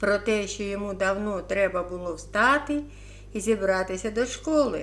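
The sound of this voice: The reading voice here is unforced.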